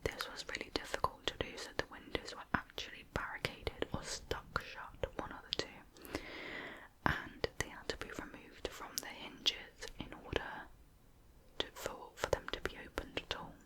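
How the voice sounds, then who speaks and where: Someone whispers at a moderate pace with a British accent. Background noise is noticeable. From United Kingdom. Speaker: ASMR creator. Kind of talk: true crime narration. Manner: soft-spoken.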